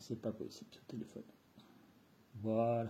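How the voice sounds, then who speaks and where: This man's tone is dark and mellow. There is a somewhat breathy quality to his voice. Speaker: bushcraft youtuber. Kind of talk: product review. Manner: casual.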